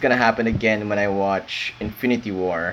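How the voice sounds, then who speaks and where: A man mumbles at a fairly low pitch with ordinary pitch variation, over noticeable background noise. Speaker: university student vlogger. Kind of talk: late-night solo rant. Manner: mumbling; halting.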